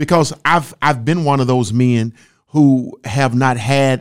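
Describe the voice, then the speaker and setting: Speaking in a Southern US accent, a man moves at a very slow pace. His medium-pitched voice keeps a fairly even intonation on a very clean recording with a silent background. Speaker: marriage podcast co-host. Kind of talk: casual chat.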